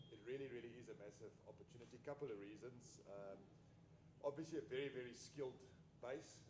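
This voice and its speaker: With a South African accent, a man at medium pitch talks very fast but with long, frequent pauses, his pitch varying in an ordinary way. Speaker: business executive. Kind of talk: panel discussion. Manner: loud.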